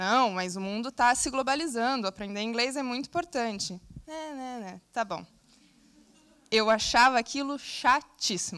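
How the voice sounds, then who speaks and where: A woman with lively intonation, big swings in loudness and a fairly slow pace. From southern Brazil. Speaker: scout, invited speaker. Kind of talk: conference talk. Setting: stage with audience.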